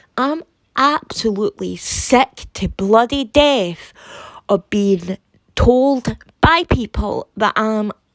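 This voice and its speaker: In a Scottish accent, a woman speaks at a very slow pace with fairly high pitch and lively intonation. The sound is dry and close with no echo. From Scotland. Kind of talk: casual talk to camera. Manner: indignant, heated.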